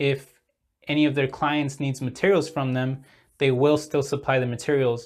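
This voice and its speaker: A man speaks in a monotone, flat intonation. The recording is very clean, with a silent background. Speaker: stock market YouTuber. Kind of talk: casual market update vlog. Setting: at home with windows open. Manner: halting, many fillers and restarts.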